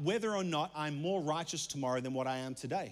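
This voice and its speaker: A man is talking. His speech carries an Australian accent. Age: 30s. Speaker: pastor. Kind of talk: sermon.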